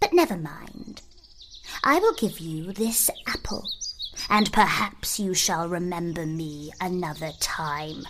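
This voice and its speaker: A woman speaks at a fairly slow pace in a put-on character voice with medium pitch. Her loudness swings widely, and background noise is clearly heard. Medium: read story. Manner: wheedling.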